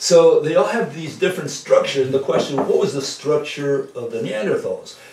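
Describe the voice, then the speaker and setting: Audible room echo surrounds a man as he speaks. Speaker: presenter. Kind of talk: lecture-style conversation. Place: home room. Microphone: camera far.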